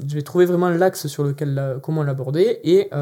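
With an unremarkable speaking voice, a man talks at a fairly quick pace. His pitch is fairly high, with ordinary variation. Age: 20s. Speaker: LinkedIn content project manager. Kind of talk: interview. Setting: video studio.

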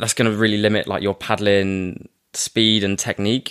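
In a plain, everyday voice, a man speaks at a fairly low pitch and moderate pace. His intonation stays fairly even. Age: young. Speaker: personal trainer and surf coach. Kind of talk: casual interview chat.

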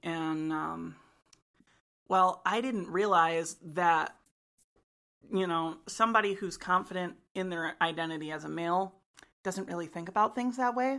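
A woman's fairly low, bright and sharp voice in an American accent, fairly slow with long, frequent pauses and ordinary pitch variation, on a very clean recording with a silent background. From US Midwest, Michigan. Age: 20s. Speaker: college student. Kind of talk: casual chat. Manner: hesitant, many fillers.

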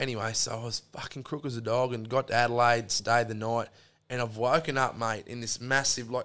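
On a very clean recording with a silent background, a man with a strong Australian accent talks at a fairly quick pace and medium pitch. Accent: broad Australian. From Australia, central Queensland. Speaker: electrician. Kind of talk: casual chat. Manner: animated storytelling.

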